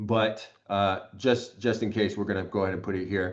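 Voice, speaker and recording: Against a quiet background, a man with a fairly low voice speaks at a moderate pace with fairly even intonation. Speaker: real estate trainer; presenter. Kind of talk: tutorial. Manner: hesitant with fillers.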